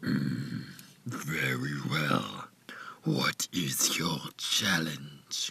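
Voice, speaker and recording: A man performs a cartoonish character voice. He speaks at a very deep, low pitch and a very slow pace. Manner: slow, composed.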